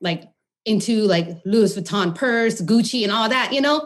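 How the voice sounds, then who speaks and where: This woman has an unremarkable speaking voice at medium pitch, with ordinary pitch variation. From California, Modesto; Khmer-American family. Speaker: holistic nutritionist. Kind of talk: podcast interview.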